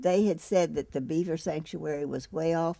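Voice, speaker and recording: A woman's fairly low voice, dark and mellow in tone, at a moderate pace with ordinary pitch variation. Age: 80s+. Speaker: cancer patient. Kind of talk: interview answer.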